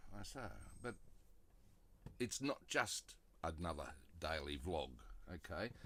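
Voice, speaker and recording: With an Australian accent, a man speaks at a very slow pace with long, frequent pauses, his very deep, low voice showing vocal fry, a bright, sharp tone and very wide pitch swings. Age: 60s. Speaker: vlogger. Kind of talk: casual talk to camera.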